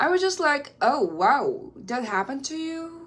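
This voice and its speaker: Here a woman is talking. Her speech carries a Korean accent. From South Korea. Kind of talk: casual talk to camera.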